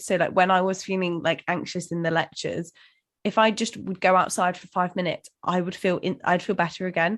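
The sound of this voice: With fairly even intonation, a woman speaks at a fairly quick pace in a fairly low pitch.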